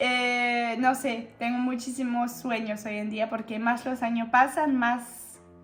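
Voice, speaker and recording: A woman with a high pitch speaks at a very slow pace with monotone, flat intonation and hardly any pauses while music plays in the background. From France. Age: 20s. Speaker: YouTuber and aspiring actress. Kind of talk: casual talk to camera.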